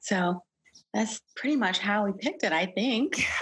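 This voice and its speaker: Her voice is medium in pitch and somewhat breathy. This woman's pitch varies in an ordinary way. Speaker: podcast guest, flute player.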